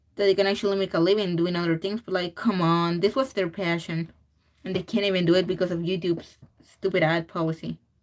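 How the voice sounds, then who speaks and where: Speaking with a Spanish accent, a woman goes at a very fast pace. Her intonation stays fairly even. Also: fairly low pitch for a woman. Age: 20s. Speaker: digital artist streaming while drawing. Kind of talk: casual livestream chat. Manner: halting, with fillers and repeats.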